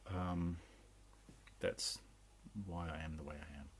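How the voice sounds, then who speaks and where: The speaker talks at a very slow pace in an English accent, with ordinary pitch variation. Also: man. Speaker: spiritual channeler. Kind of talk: spiritual talk. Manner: hesitant, many fillers.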